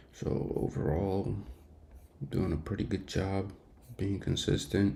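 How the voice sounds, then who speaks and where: A man whispers at a very slow pace. Noticeable background noise and audible room echo surround him. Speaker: day trader streamer. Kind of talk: live trading stream commentary. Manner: casual, halting with fillers; whispering.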